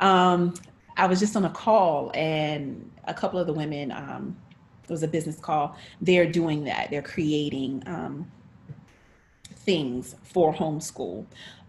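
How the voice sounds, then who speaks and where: A woman with an American accent speaks fairly slowly. Her pitch is very deep and low, and her voice is somewhat breathy. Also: ordinary pitch variation. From North Carolina. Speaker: actress, director and teaching artist. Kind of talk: interview.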